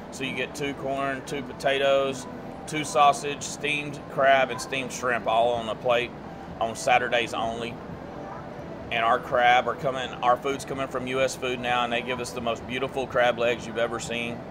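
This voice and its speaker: Against noticeable background noise, a man speaks at a moderate pace in a monotone, flat intonation. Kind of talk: interview answer. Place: bar.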